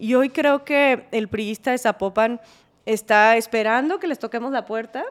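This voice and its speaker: A woman speaks with a high voice. Her pace is moderate and her pitch varies in an ordinary way. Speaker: politician. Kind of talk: interview.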